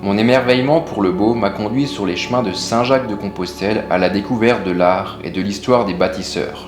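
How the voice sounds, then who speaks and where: A man's voice with ordinary pitch variation, audible room echo and music in the background. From Alsace, France. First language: Alsatian (speaking French). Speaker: stove builder and business owner. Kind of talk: scripted narration.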